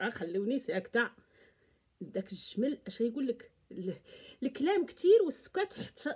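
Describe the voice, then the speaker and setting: An animated woman at a high pitch, with very wide pitch swings, a moderate pace, long, frequent pauses and a quiet background. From Morocco. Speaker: YouTube vlogger. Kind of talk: casual commentary monologue. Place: home room. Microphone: phone near.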